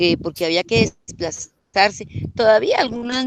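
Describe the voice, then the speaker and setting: A woman speaks at a fairly slow pace with lively intonation. The sound is dry and close with no echo, over a quiet background. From Colombia, Santander rural area, raised in Bogotá from age 7. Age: 60s. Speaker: rural women's community leader. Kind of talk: interview. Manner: hesitant, many fillers.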